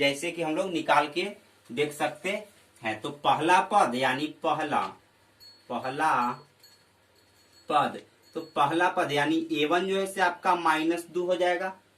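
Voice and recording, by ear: Audible room echo surrounds a man speaking at a slow pace, his fairly high pitch carrying a fairly bright tone and ordinary pitch variation.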